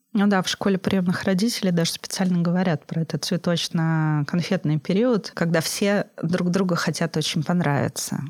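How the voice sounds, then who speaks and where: In a dry, close sound with no echo, a woman with a fairly low pitch speaks at a moderate pace, her intonation fairly even and her loudness very even. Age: 40s. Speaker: psychologist, adoptive mother. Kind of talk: interview.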